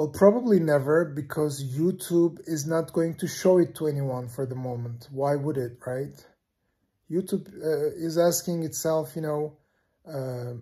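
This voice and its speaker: A man with a fairly high pitch and a dark, mellow, somewhat breathy tone speaks at a fairly slow pace with ordinary pitch variation. The recording is very clean, with a silent background. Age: 50s. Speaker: YouTuber. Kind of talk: casual vlog monologue. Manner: hesitant, many fillers.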